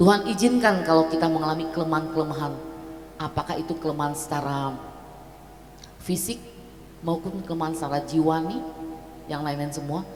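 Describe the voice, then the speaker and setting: A woman talks very fast in a very deep, low voice with fairly even intonation, yet leaves long, frequent pauses. Music plays in the background, and room echo is audible. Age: 60s. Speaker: guest speaker. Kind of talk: sermon.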